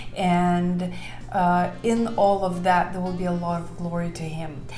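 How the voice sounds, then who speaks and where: A woman with a Lithuanian accent at a fairly low pitch, flat and monotone, at a fairly slow pace, with audible room echo and noticeable background noise. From Lithuania, Vilnius. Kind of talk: testimony. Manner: many filler words, somewhat halting.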